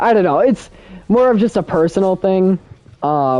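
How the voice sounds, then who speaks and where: A man speaking at a fairly quick pace. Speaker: YouTuber livestreaming games. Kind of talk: casual live stream chat. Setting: live stream. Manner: fast; talkative.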